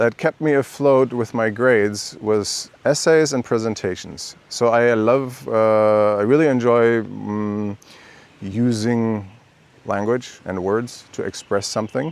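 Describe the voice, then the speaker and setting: In a German accent, a man talks at a very slow pace in a medium pitch, with ordinary pitch variation. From Germany. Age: 50s. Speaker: vlogger. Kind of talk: personal vlog monologue. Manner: halting, many fillers and restarts; talking freely from bullet points.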